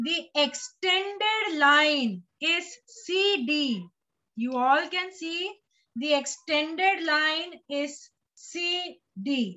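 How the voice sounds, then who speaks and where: A woman with an Indian accent, extremely high-pitched, with lively intonation and a very slow pace. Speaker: teacher. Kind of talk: lecture. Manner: slow, steady.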